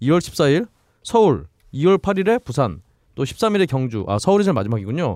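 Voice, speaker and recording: A man's voice swings very widely in pitch, recorded dry and close with no echo. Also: moderate pace. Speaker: podcast co-host. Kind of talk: casual chat. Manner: joking.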